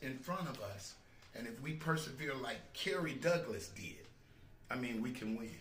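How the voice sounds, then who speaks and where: A man's medium-pitched voice with lively intonation and audible room echo. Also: moderate pace. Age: 60s. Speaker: gospel quartet singer. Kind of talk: casual interview. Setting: live stream.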